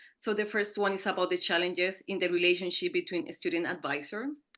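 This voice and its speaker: Over a quiet background, a woman with a medium pitch and a bright, sharp tone talks at a moderate pace with ordinary pitch variation. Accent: Colombian. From Colombia (Andean city). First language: Spanish. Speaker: PhD student, panel speaker. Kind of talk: conference presentation.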